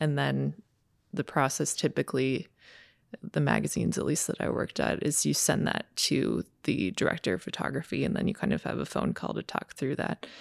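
With no echo and a dry, close sound, a woman's speech moves at a moderate pace. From Minnesota. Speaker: photographer. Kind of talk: casual interview chat. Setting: in person, studio.

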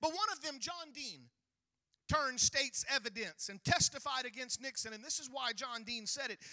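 A man talks in a raised, projected voice at an extremely high pitch, with a bright, sharp tone. The sound is dry and close, with no echo. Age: 40s. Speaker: pastor. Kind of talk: sermon. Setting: church.

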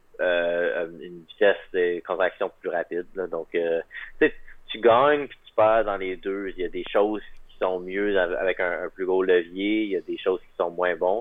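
A man at a very slow pace. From Quebec, Magdalen Islands. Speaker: track cyclist. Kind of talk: interview.

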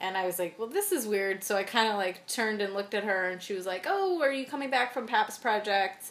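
Hardly pausing, a woman talks at a fairly quick pace with a fairly high pitch and ordinary pitch variation. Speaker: podcast co-host. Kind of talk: casual chat. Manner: animated, joking.

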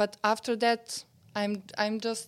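The speaker talks at a very slow pace with a Serbian accent. The intonation stays monotone and flat. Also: woman. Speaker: novelist. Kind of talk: interview conversation. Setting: old house on a residency.

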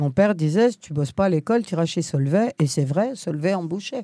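A woman speaks at a fairly slow pace with a dark, mellow tone and medium pitch, her intonation lively. The recording is very clean, with a silent background and a dry, close sound with no echo. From France, provincial suburb. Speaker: primary school teacher. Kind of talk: discussion.

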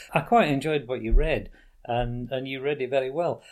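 With a Yorkshire accent, a man speaks at a moderate pace. The recording is very clean, with a silent background. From Yorkshire, northern England. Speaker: podcast host. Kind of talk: interview conversation.

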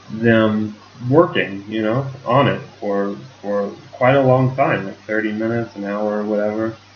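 With an American accent, a man talks at a fairly slow pace against noticeable background noise. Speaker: English teacher, podcast co-host. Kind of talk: casual chat. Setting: home studio. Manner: gets louder as he talks; sometimes mumbles.

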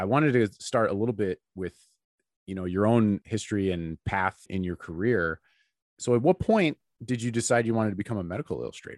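A man with a fairly low pitch speaks at a fairly quick pace with ordinary pitch variation, in an unremarkable speaking voice, on a very clean recording with a silent background and a dry, close sound with no echo. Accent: American. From US, Chicago. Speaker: podcast host, medical illustrator. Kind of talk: interview. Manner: relaxed, friendly.

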